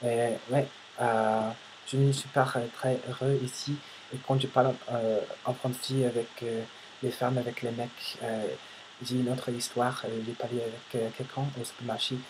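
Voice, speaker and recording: Speaking slowly, a man leaves long, frequent pauses. His medium pitch stays monotone and flat. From United States. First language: English (speaking French). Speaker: vlogger, language learner. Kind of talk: casual vlog monologue. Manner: halting, many hesitations.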